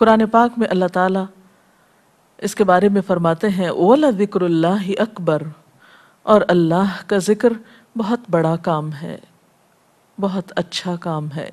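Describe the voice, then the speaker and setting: The voice is a normal speaking voice with ordinary pitch variation. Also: woman, medium pitch for a woman. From Pakistan. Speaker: Islamic scholar and preacher. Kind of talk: religious lecture.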